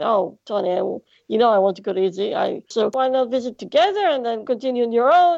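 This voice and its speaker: A woman's high-pitched voice with a Greek accent. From Greece. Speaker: blind traveller. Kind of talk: interview. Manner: halting, many fillers.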